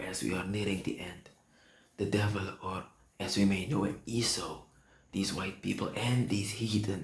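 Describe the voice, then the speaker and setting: A man's fairly low, somewhat breathy voice at a moderate pace, with ordinary pitch variation, long, frequent pauses and audible room echo. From Suriname. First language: Sranan Tongo or Dutch. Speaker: preacher. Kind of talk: sermon. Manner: halting.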